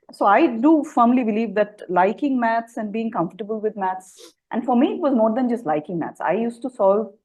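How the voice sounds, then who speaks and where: Her voice is somewhat breathy and fairly high in pitch. The woman speaks at a fairly quick pace with lively intonation. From India. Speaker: physics professor. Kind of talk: interview conversation.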